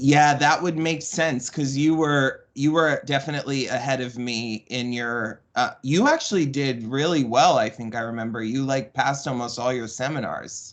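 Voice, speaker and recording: Against a quiet background, a man with a plain, everyday voice talks at a moderate pace with hardly any pauses, fairly high pitch and ordinary pitch variation. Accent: American. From Florida, Tampa. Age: 30s. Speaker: podcast guest, boarding school survivor. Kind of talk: interview, personal testimony.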